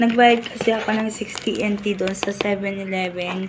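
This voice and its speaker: Over noticeable background noise, a woman speaks at a very slow pace with monotone, flat intonation. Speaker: vlogger. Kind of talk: unboxing voice-over. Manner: casual, chatty.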